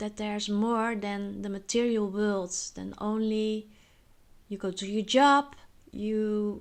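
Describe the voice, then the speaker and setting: A woman talks very slowly with a Dutch accent. Her pitch sits in the medium range. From Netherlands. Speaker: spiritual vlogger. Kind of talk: personal monologue vlog. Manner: halting, many filler words.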